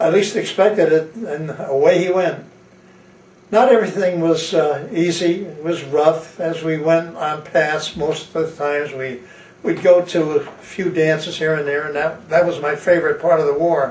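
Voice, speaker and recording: With an American accent, a man talks at a fairly high pitch and moderate pace with fairly even intonation. Audible room echo and noticeable background noise fill the recording. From Connecticut. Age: 80s+. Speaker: war veteran. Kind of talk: testimony. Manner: halting, many fillers.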